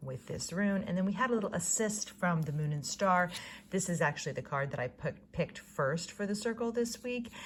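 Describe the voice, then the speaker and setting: A woman speaks with lively intonation, her voice somewhat breathy. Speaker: ritual guide. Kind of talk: spiritual guided reflection to camera.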